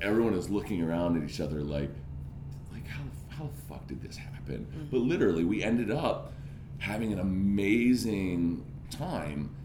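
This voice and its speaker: With an animated tone and a fairly low voice, a man talks at a moderate pace, his loudness swinging widely and his pitch ranging very widely amid audible room echo. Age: 30s. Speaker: podcast host. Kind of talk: casual interview.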